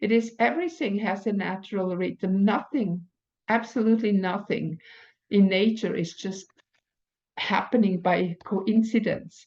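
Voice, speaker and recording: With a non-native accent, a woman talks at a fairly slow pace in a medium pitch with ordinary pitch variation. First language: not English. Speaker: spiritual teacher. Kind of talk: oracle card reading monologue. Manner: halting.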